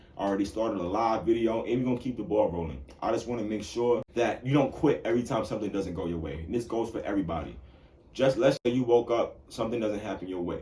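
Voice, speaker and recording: A man's medium-pitched, animated voice at a very fast pace, with ordinary pitch variation. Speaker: podcast host and bartender. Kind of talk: solo podcast monologue. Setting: solo in front of camera and microphone.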